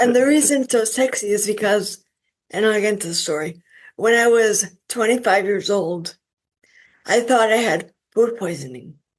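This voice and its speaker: A woman speaks at a moderate pace with ordinary pitch variation, leaving long, frequent pauses. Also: fairly high pitch for a woman. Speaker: stroke survivor and author. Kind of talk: interview.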